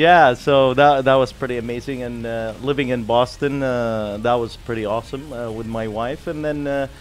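A man speaks at a moderate pace, his intonation fairly even, with light background noise behind him. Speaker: guest. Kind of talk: interview answer. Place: studio. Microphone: studio mic.

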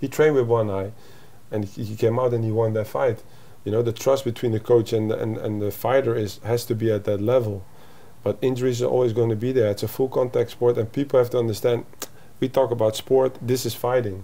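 A man's dark, mellow voice with a Dutch accent and fairly even intonation. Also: medium pitch for a man, fairly quick pace. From Netherlands. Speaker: MMA coach; fight coach guest. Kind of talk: interview. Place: home room.

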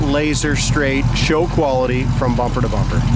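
The speech moves at a moderate pace. The sound is dry with no echo, and there is noticeable background noise. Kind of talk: sales walkaround commentary. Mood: enthusiastic. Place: street. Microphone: phone near.

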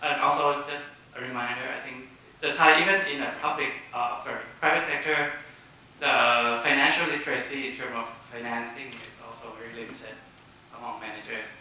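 A man's voice carries strong room echo. Light background noise is present. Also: ordinary pitch variation. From Thailand. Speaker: social enterprise founder. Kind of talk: panel presentation. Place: hall. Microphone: pa.

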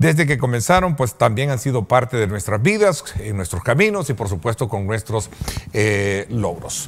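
With noticeable noise in the background, a man talks in a medium pitch at a moderate pace, his intonation lively. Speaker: talk show host. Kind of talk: interview.

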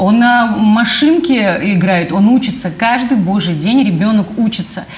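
Speaking at a fairly slow pace with lively intonation, a woman is heard with audible room echo. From Samara, Russia. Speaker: organization president. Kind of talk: studio interview. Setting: studio. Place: studio. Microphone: lapel.

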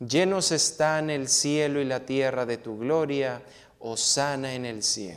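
Against a quiet background, a man speaks at a very slow pace with ordinary pitch variation and a solemn, warm tone. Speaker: priest. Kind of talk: priest homily and mass liturgy. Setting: church. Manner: solemn, measured, reverent liturgical delivery; warm, direct address to congregation. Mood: solemn, measured. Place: church. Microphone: lapel.

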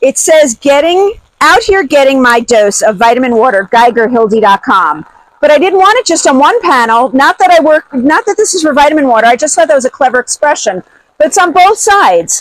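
A woman speaks at a high pitch with an upbeat, animated tone and very wide pitch swings. Her pace is fairly quick, the sound dry with no echo against a quiet background. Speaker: swag seller and vlogger. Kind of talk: product pitch demo. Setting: outdoors in the rain. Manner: upbeat, animated, enthusiastic. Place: rain. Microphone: lapel.

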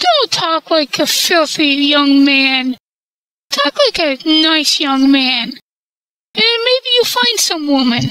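This man's voice sits extremely high and swings very widely in pitch. He speaks at a very slow pace. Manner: prim, scolding, folksy.

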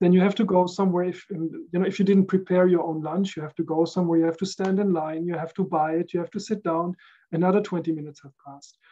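Speaking in a German accent, a man delivers his words at a very fast pace with hardly any pauses, using a high pitch, a dark, mellow tone, monotone, flat intonation and big swings in loudness. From Netherlands (Rotterdam area, The Hague); Netherlands. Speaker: recording engineer; podcast guest. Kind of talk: casual chat. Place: home room.

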